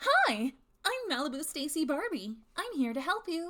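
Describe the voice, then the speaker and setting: A put-on character voice, female-sounding, at an extremely high pitch for a woman, with very wide pitch swings and a moderate pace. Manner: polite and helpful.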